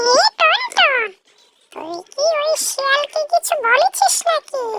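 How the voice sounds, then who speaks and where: Pitched extremely high, a cartoonish character voice talks at a fairly slow speed. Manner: lecturing, matter-of-fact.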